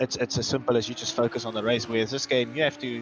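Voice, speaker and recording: A man with a South African accent talks at a very fast pace with fairly even intonation. Background noise is noticeable. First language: Afrikaans. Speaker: guest co-commentator. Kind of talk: live commentary.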